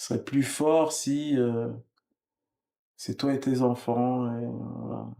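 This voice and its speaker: Dark, mellow tone with fairly even intonation. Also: man. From France, Congolese family. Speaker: musician. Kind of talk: interview. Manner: hesitant.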